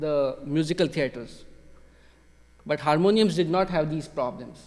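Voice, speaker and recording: Speaking with a Marathi accent, a man uses ordinary pitch variation. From India, Maharashtra. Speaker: music technology PhD student, researcher. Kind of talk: lecture. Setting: concert hall with audience.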